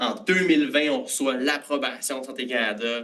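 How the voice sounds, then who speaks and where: Fairly high-pitched man with a bright, sharp tone and ordinary pitch variation. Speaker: food science graduate and startup cofounder. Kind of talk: conference presentation. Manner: casual with many filler hesitations.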